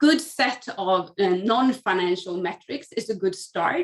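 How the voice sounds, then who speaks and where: A woman speaks fairly slowly with a Swedish accent and lively intonation. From Sweden. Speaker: academic researcher. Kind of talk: panel discussion.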